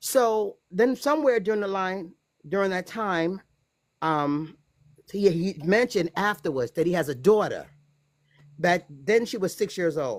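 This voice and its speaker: A woman's medium-pitched voice with an American accent and lively intonation, at a fairly slow pace with long, frequent pauses, on a very clean recording with a silent background. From United States. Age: 60s. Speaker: guest telling personal story. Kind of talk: testimony.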